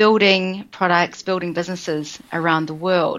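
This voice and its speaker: A woman's medium-pitched voice with a New Zealand accent, over a quiet background. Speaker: business coach. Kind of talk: interview.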